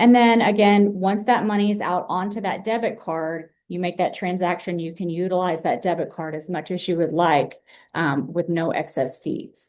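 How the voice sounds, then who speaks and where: An ordinary speaking voice at a moderate pace, with ordinary pitch variation and hardly any pauses. The background is quiet. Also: woman, fairly low pitch for a woman. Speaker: outreach specialist for a state savings program. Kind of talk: webinar presentation. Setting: online webinar.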